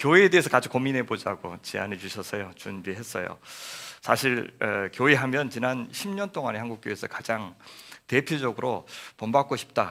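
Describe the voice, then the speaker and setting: A man talks at a moderate pace and medium pitch, with a bright, sharp tone. His intonation is lively, and his loudness swings widely. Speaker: guest pastor. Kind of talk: sermon.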